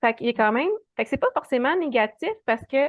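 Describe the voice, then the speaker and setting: A woman's very fast speech in a Quebec accent. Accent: Québécois French. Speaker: animal communicator. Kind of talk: casual interview.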